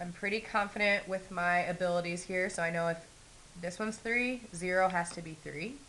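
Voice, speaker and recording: Amid audible room echo, a woman of medium pitch speaks fairly quickly with fairly even intonation and a bright, sharp tone. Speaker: math teacher. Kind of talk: lecture.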